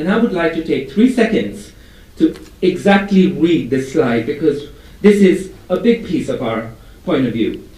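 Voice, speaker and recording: Pitched high, a man speaks at a moderate pace with very wide pitch swings. Audible room echo and noticeable background noise fill the recording. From India. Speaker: advertising strategy executive. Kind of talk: conference presentation.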